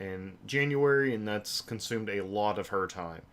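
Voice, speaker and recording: Over noticeable background noise, a man speaks at a fairly low pitch with fairly even intonation. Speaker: gaming channel host, game and hardware reviewer. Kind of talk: livestream announcement update. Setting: live stream with webcam.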